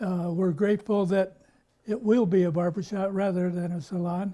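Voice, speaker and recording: At a moderate pace, a man with an American accent speaks in a high pitch with a dark, mellow tone and fairly even intonation. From Illinois, US Midwest. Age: 80s+. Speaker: retiring barbershop owner. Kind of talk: news interview. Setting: barbershop.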